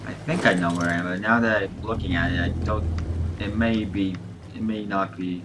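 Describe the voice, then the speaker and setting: With audible room echo and noticeable background noise, a man talks at a moderate pace in a fairly low pitch and fairly even intonation. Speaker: gaming YouTuber. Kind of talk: let's play commentary. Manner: loud; halting. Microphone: mic distorts when loud.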